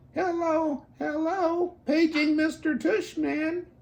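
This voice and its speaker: A put-on character voice, high in pitch, at a very slow pace. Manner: mocking, playful.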